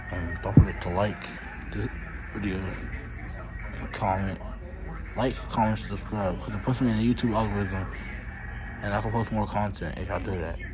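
A man mumbles at a moderate pace, leaving long, frequent pauses. Music plays clearly in the background. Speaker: vlogger at dentist. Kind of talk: casual vlog chat. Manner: sleepy, mumbled, numb-mouthed speech. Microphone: phone near.

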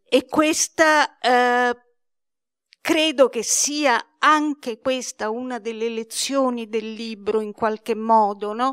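A woman talks at a very slow pace in a high voice with ordinary pitch variation. Her background is quiet. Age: 70s. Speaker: publisher presenting a book; presenter. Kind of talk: book presentation talk. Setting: library event with audience. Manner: hesitant, many fillers. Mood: warm, earnest. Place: hall. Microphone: handheld.

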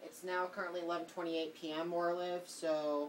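A woman's fairly low-pitched voice at a fairly quick pace, with monotone, flat intonation and light background noise. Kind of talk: casual vlog chat. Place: home room. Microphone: phone near.

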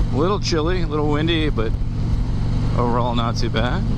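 Loud background noise dominates the recording. The sound is dry with no echo. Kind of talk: casual motovlog chat. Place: motorbike.

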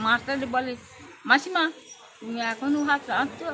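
The pitch variation is ordinary. Light background noise can be heard. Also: woman. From West Bengal, India. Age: 70s. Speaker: elderly mother, abuse victim. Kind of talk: interview testimony; interview answer. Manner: halting. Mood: aggrieved, pleading. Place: street. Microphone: phone near.

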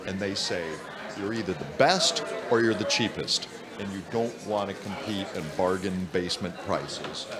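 Over crowd noise in the background, a man with an American accent speaks at a moderate pace in a fairly low pitch. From US Midwest. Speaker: interviewer. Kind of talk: interview. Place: hall.

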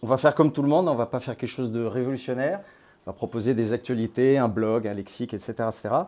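A man's medium-pitched voice, dark and mellow in tone, with ordinary pitch variation at a very fast pace. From France (born in Grenoble); France. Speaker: crypto platform founder. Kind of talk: talk to a small audience. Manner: hesitant, many fillers. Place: hall. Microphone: lapel.

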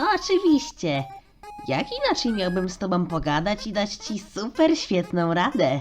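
In a put-on character voice, a female-sounding speaker moves at a moderate pace with very wide pitch swings over faint background music. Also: medium pitch for a woman. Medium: dub.

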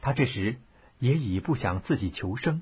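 The reading voice sounds natural. Lively intonation runs through it.

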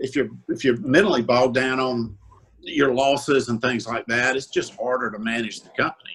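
Speaking with a Southern US accent at a moderate pace, a man keeps his intonation fairly even while his loudness swings widely. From South Carolina (Orangeburg). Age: 60s. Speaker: used car dealer. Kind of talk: interview. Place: home room. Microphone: video call.

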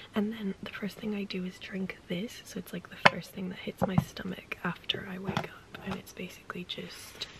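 A moderate pace over noticeable background noise. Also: woman. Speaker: lifestyle vlogger. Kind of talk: casual vlog talk. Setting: in a car. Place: home room. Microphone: phone near.

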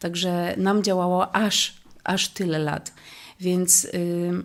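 A woman's fairly low voice, monotone and flat in intonation. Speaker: church member. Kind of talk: testimony. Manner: halting.

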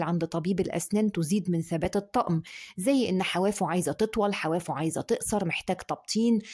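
A woman speaks at a moderate pace with lively intonation. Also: quiet background. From Egypt. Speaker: dentist. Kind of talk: tutorial. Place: home room. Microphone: phone near.

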